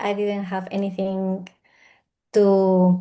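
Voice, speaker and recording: In a Peruvian accent, a woman speaks at a fairly slow pace with a medium pitch and a dark, mellow tone. The background is quiet. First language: Spanish. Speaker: spiritual healer and mentor. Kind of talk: interview conversation. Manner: halting.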